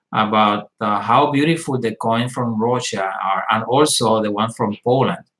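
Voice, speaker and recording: This speaker is male. The pace he keeps is moderate. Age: 60s. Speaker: metal detecting YouTuber. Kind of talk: live stream chat. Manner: halting, many fillers.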